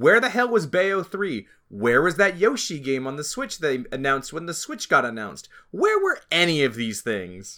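His tone is bright and sharp, set at a fairly high pitch for a man. He speaks at a moderate pace, his pitch swinging very widely. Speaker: video game podcast host. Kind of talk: casual chat.

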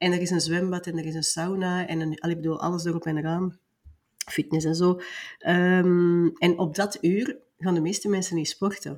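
Monotone and flat in intonation, a woman speaks at a moderate pace and a fairly low pitch. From Belgium (Flanders). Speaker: business mentor. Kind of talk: interview.

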